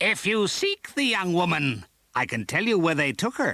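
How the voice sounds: Very wide pitch swings mark this put-on character voice at a moderate pace. Its loudness stays very even. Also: man, high pitch for a man.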